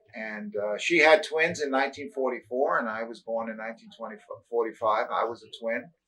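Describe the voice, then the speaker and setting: A man of medium pitch speaks with a New York accent. His bright, sharp tone shows big swings in loudness. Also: ordinary pitch variation, moderate pace. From New York (Brooklyn, then Long Island). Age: 60s. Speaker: retired teacher. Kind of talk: oral history interview. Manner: halting, many fillers.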